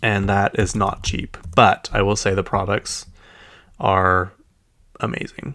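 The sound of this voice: A man with a Utah accent speaks at a fairly slow pace. His voice is fairly low-pitched, with a fairly bright tone. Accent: Utah American.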